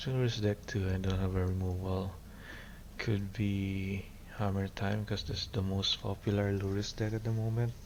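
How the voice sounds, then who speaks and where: Quiet and at a fairly low pitch, a man speaks with monotone, flat intonation and very even loudness amid audible room echo. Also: moderate pace. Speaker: card game streamer. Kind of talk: live gameplay commentary.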